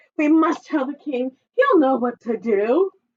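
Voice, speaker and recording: This is a put-on character voice that sounds female, pitched high. It moves at a fairly slow pace. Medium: read story. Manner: clucking, flustered.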